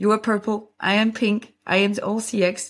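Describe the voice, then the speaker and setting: In a French accent, a woman speaks at medium pitch and a fairly slow pace over a very clean recording with a silent background. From French-speaking Belgium. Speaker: podcast host and CX design coach. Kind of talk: casual chat, livestream conversation. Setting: live stream on LinkedIn and YouTube.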